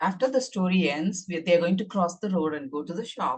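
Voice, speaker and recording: Her voice somewhat breathy, a woman with a Tamil accent speaks with lively intonation. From India. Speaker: author. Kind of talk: casual chat. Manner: halting.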